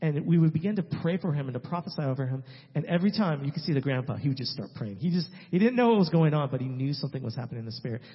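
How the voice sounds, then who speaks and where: Very fast and somewhat breathy, a man talks with lively intonation. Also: fairly high pitch for a man. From California, San Francisco Bay Area. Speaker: missionary. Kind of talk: testimony. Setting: church.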